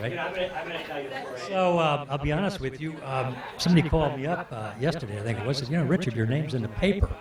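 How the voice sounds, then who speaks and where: Over crowd noise in the background, a man with an American accent talks at a fairly high pitch with ordinary pitch variation. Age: 60s. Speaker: fishing guide. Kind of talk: storytelling to audience. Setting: stage with audience. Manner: halting, many fillers.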